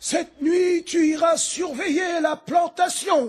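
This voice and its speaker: A man uses a put-on character voice pitched extremely high. He speaks at a fairly slow pace. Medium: audio drama. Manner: measured, grave.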